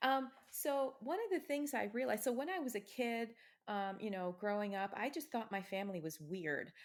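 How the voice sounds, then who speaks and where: A woman at a moderate pace, fairly high-pitched, with an American accent and very wide pitch swings, on a very clean recording with a silent background. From US Midwest, Ohio. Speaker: author. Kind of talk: interview.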